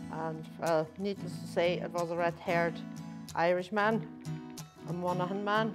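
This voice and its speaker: With clear music in the background, a woman speaks at a moderate pace in a German accent. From Germany. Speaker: tour guide. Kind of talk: interview answer. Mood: warm, friendly. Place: hall.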